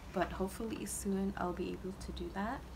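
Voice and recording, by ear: A woman speaks at a fairly quick pace with medium pitch, fairly even intonation and vocal fry. Clear background noise runs underneath.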